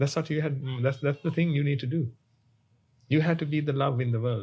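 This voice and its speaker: A man speaks in a somewhat breathy voice with a dark, mellow tone, very even loudness and fairly even intonation. The recording is very clean, with a silent background. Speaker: Buddhist monk. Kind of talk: sermon. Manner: halting.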